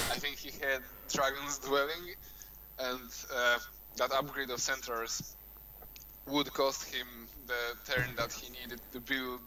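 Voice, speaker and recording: A man with a non-native accent, at a very slow pace, in a monotone, flat intonation. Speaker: game commentator. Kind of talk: live commentary.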